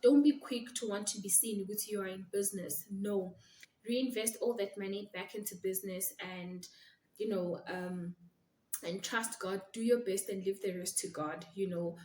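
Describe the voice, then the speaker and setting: Somewhat breathy with a dark, mellow tone, the voice moves at a moderate pace with ordinary pitch variation. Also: woman, medium pitch for a woman. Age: young. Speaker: attorney and law firm owner. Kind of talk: vlog monologue. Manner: soft-spoken.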